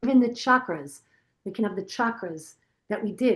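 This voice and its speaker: Against a quiet background, a woman with an American accent talks at a fairly quick pace and a fairly high pitch. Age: 60s. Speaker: yoga and meditation teacher. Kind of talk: guided yoga class wrap-up and Q&A.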